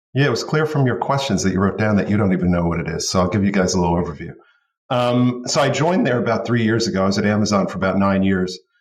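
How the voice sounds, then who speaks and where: With an American accent, a man talks at a very fast pace in a fairly low pitch with lively intonation, and audible room echo surrounds him. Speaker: retail media executive. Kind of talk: podcast interview.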